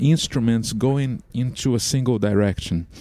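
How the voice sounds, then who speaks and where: A man with a Portuguese accent speaks in a dark, mellow tone. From Brazil. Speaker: microtonal composer and musician. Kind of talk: interview. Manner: halting, many fillers and repeats.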